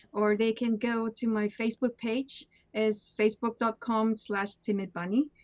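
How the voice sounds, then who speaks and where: A woman's fairly high voice with a non-native accent, at a moderate pace in a monotone, flat intonation, with a dry, close sound and no echo. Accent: foreign. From Peru. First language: Spanish. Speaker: charity streamer. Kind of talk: casual interview. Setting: online call.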